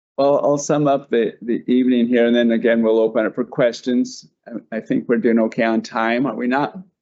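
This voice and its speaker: In a normal speaking voice with an American accent, a man talks at a medium pitch and a fairly quick pace, with fairly even intonation and hardly any pauses. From Denver, Colorado. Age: 60s. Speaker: artist. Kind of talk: panel presentation.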